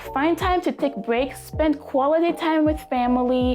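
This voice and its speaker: Over music in the background, a woman talks in an upbeat tone. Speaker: self-improvement vlogger. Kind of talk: casual talk to camera. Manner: upbeat, motivational.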